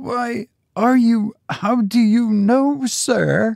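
Putting on a character voice, a man speaks very slowly at an extremely high pitch with ordinary pitch variation, vocal fry and a slightly mellow tone, on a very clean recording with a silent background and a dry, close sound with no echo.

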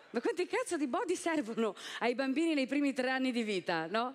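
Her pace is moderate as the woman speaks. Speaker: stand-up comedian. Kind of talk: stand-up comedy routine. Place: stage. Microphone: headset.

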